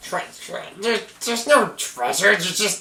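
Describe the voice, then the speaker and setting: This put-on character voice sits at a fairly high pitch and moves at a moderate pace. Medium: actual play. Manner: broken grammar, third-person self-reference, nervous.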